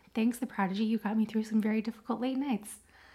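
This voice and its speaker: With an American accent, the voice sounds dark, mellow and somewhat breathy, delivered in a monotone, flat intonation. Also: woman. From United States. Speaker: podcast co-host. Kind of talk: casual chat.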